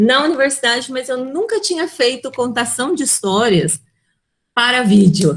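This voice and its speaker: At a fairly slow pace, a woman speaks in a high pitch with lively intonation. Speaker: storyteller and educator. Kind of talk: webinar talk. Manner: intense.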